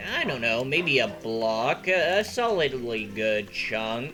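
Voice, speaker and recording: Using a put-on character voice at medium pitch, a man speaks at a fairly slow pace against clear background noise. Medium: machinima. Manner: sly, scheming.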